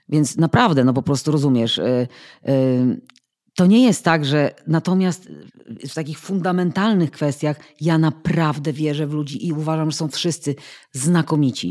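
Speaking at a moderate pace, a woman has a very deep, low pitch, a dark, mellow tone and ordinary pitch variation. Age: 50s. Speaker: podcast guest. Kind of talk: casual interview.

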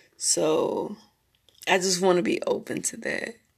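Recorded very cleanly against a silent background, a woman speaks at a fairly slow pace with a Memphis accent. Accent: Southern US (Memphis). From US South, Memphis, Tennessee. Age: 30s. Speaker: podcast host. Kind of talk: casual monologue. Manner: halting, with many fillers.

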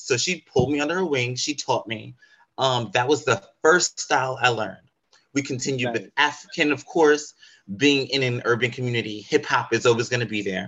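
Using an unremarkable speaking voice, a man talks at a fairly quick pace with medium pitch and ordinary pitch variation. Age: 30s. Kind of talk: interview.

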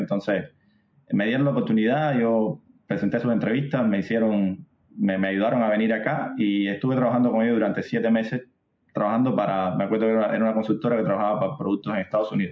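A man with a Cuban accent talks at a fairly quick pace. His pitch varies in an ordinary way. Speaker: software tech lead. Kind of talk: casual interview.

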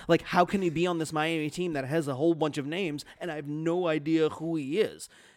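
A man with a normal speaking voice, fairly high in pitch, at a fairly quick pace. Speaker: podcast host, guest on sports podcast. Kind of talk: casual chat.

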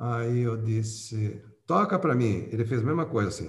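A somewhat breathy voice carries audible room echo. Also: man. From Piracicaba, São Paulo, Brazil. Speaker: flute teacher and soloist. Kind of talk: interview.

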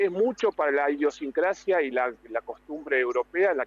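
A man at a moderate pace with a Rioplatense accent and ordinary pitch variation. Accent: Argentine Rioplatense Spanish. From Argentina. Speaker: TV and radio presenter, speaking coach. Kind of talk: radio interview by phone.

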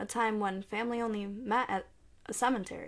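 A woman has an unremarkable speaking voice with a fairly high pitch and fairly even intonation. The background is quiet. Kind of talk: spoken-word poem reading, intimate and confessional, between chatty asides. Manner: flustered, stumbling over words, rambling and apologetic.

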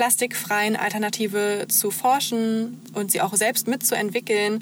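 A woman with a fairly high pitch talks at a very slow pace. Her intonation stays monotone and flat. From eastern Germany, near Magdeburg (Saxony-Anhalt). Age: 20s. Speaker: social media manager. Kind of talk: interview.

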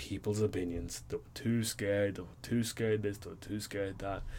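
The speaker is a man. His words come fairly slowly. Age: young. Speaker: podcast host. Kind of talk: casual solo monologue. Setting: home office.

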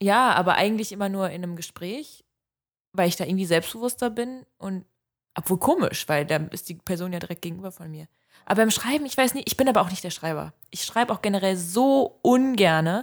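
Big swings in loudness mark this woman's normal speaking voice, pitched at a medium level and delivered at a fairly quick pace. The recording is very clean, with a silent background. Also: lively intonation. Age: 20s. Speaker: podcast co-host. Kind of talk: casual chat.

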